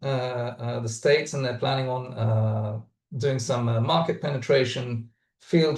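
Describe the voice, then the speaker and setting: Against a quiet background, a somewhat breathy man with fairly even intonation. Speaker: startup founder. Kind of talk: webinar talk. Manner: halting, many fillers.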